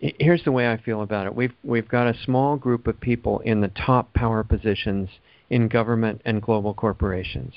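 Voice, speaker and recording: The speaker talks at a fairly quick pace with ordinary pitch variation. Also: man, medium pitch for a man. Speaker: alternative health commentator. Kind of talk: casual chat. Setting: phone call. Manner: fast.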